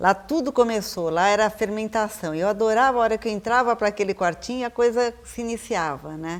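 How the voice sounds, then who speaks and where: A woman's unremarkable speaking voice, fairly high in pitch, with ordinary pitch variation and a fairly quick pace. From Brazil, São Paulo city. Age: 50s. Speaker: visual artist. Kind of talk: interview.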